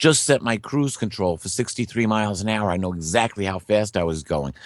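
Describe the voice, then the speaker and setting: An ordinary speaking voice from a man, fairly low in pitch, fairly quick and lively in intonation, over a quiet background. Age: 60s. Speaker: guest speaker on biblical prophecy. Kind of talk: interview.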